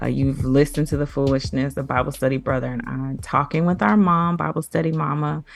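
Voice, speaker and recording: Music plays in the background as a woman speaks. She talks at a fairly quick pace with hardly any pauses. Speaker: podcast host. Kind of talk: casual podcast discussion.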